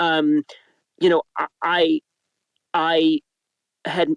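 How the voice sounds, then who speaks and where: The delivery is a flat monotone. The sound is dry and close, with no echo. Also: man. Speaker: audiobook narrator, director and acting coach. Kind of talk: interview answer.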